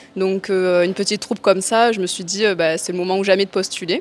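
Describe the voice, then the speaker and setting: A woman with a slight Marseille accent talks in a flat monotone while noticeable background noise runs underneath. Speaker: cabaret dancer and dance teacher. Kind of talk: TV interview. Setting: TV set in a casino.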